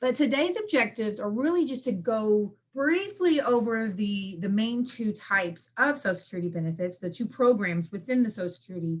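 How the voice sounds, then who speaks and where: Somewhat breathy and fairly high-pitched, a woman speaks at a fairly quick pace with hardly any pauses. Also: lively intonation. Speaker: benefits work incentive coordinator. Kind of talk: presentation. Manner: fast.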